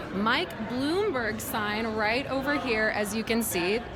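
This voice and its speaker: This woman's fairly high voice, with ordinary pitch variation, is heard over noticeable background noise. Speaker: reporter. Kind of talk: broadcast news reporting.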